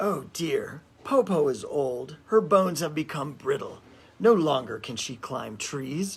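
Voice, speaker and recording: In a put-on character voice, a man speaks hoarsely at a fairly high pitch and a fairly slow pace. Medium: read story. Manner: falsely sweet, wheedling.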